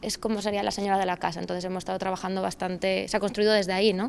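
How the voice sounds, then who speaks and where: A woman speaks in a flat, monotone way. Light background noise can be heard. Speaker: actress describing her character. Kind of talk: interview answer. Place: stage.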